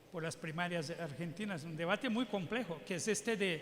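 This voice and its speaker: Over audible room echo, a man speaks at a moderate pace with ordinary pitch variation. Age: 60s. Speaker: public health physician and adviser. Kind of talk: keynote lecture Q&A. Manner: halting, with repetitions.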